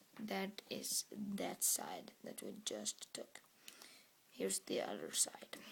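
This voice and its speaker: Whispering at a very slow pace in a Norwegian accent. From Norway. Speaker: product reviewer. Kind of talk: product review tutorial.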